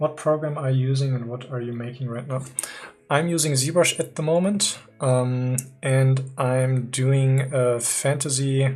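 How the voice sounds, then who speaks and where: Someone speaks in a German accent at a fairly slow pace, with noticeable background noise. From Germany. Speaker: 3D artist streamer. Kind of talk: live stream tutorial chat. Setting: live stream. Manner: hesitant, many fillers.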